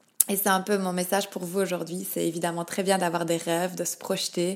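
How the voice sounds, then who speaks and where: Flat, monotone delivery from a woman at a mid-range pitch. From Belgium, Liège. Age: 30s. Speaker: podcast guest sharing grief story. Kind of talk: personal testimony. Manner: halting, repeats words.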